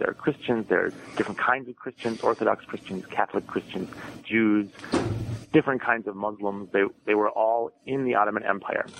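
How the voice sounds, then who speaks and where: A man with an American accent at a fairly quick pace, dry and close with no echo, plus noticeable background noise. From US Midwest, Madison, Wisconsin. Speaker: historian and author. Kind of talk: interview.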